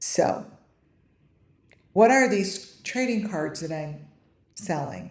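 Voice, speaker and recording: A woman speaks very slowly at a medium pitch, with long, frequent pauses and vocal fry. Her intonation is lively, and the room echo is audible. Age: 50s. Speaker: online creator selling AI trading cards. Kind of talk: casual live stream talk. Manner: halting, many fillers and restarts.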